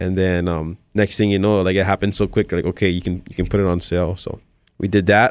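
This man talks at a very fast pace in a very deep, low voice, his intonation monotone and flat, on a very clean recording with a silent background. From Hawaii. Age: 20s. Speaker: stand-up comedian. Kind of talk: casual interview chat.

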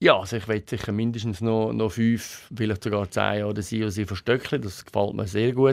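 This man has an unremarkable speaking voice, fairly low in pitch, delivered at a fairly quick pace with fairly even intonation. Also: very clean recording, silent background. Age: 50s. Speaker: company CEO. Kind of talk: interview.

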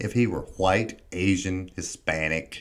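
A man's very deep, low voice in a Southern US accent, with ordinary pitch variation and a very slow pace. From US South. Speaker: political commentator. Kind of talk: monologue.

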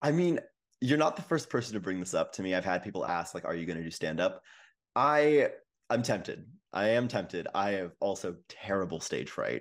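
A man speaks at a fairly quick pace, his fairly low pitch swinging very widely. The recording is very clean, with a silent background. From western Canada. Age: 20s. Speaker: social media creator. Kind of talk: casual chat.

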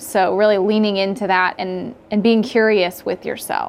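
In an American accent, a woman talks at a moderate pace and a medium pitch. Her intonation is fairly even in a normal speaking voice. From Southern California. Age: 30s. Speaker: therapist. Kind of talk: interview.

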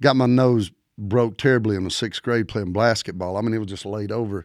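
Against a silent background in a very clean recording, a man with a Southern US accent speaks at a moderate pace in a fairly low pitch. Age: 50s. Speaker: country music singer. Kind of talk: casual chat. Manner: animated.

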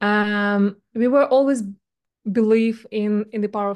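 A woman with a Russian accent talks at a moderate pace and medium pitch. Her intonation stays fairly even against a quiet background. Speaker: venture capital investor. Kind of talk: casual interview conversation.

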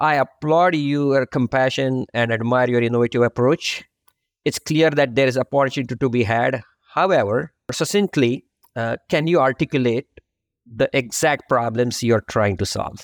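Speaking at a moderate pace with an Indian accent, a man uses a medium pitch and ordinary pitch variation, in a dry, close sound with no echo. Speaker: podcast host, accounting firm practice leader. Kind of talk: interview.

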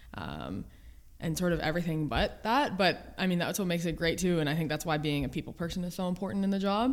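A woman with a fairly low pitch speaks at a very fast pace, showing vocal fry. Her pitch variation is ordinary. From Ontario, Canada (Almonte, near Ottawa). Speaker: university basketball coach. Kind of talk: casual interview. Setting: studio, in person.

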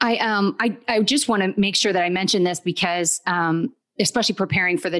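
A woman talks in a plain, everyday voice, fairly low in pitch. The background is quiet. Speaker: podcast co-host, lawyer. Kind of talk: casual chat.

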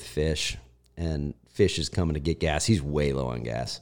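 A man with a Midwestern US accent speaks at a moderate pace in a very deep, low voice with a dark, mellow tone and ordinary pitch variation. The recording is very clean, with a silent background. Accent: US Midwest. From Ohio, US Midwest. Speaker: former fighter pilot. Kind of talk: casual chat. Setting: apartment with echo.

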